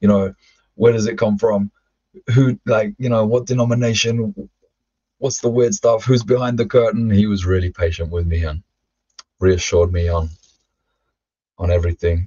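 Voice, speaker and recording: A man with a London accent and a fairly low pitch, somewhat breathy, at a moderate pace with long, frequent pauses, ordinary pitch variation and a quiet background. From London, England (also Ireland). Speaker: former rap metal vocalist; podcast guest. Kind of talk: interview testimony. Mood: reflective storytelling. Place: home room. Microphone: webcam.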